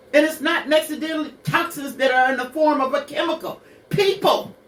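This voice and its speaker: Her voice is high-pitched and animated. The woman's intonation is lively. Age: 60s. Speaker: radio show co-host, mother of the main host. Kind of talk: personal testimony on a talk radio show.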